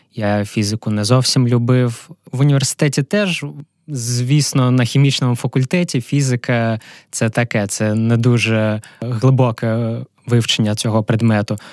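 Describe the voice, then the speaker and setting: Fairly slow and fairly even in intonation, a man speaks at a medium pitch in a dry, close sound with no echo. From Ukraine, Kharkiv. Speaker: physical chemist, entrepreneur. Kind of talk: interview. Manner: halting.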